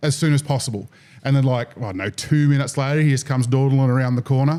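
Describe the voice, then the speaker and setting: The voice has a dark, mellow tone and an Australian accent. It rushes along at a very fast pace. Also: man. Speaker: fishing podcast host. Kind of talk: casual chat. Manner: animated.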